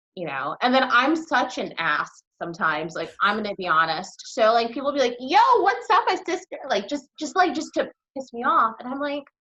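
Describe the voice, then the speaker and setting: A woman with an American accent speaks at a moderate pace in a raised, projected, high voice, with very wide pitch swings and big swings in loudness. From central New Jersey, US. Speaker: interviewee. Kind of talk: interview conversation. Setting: live stream video call.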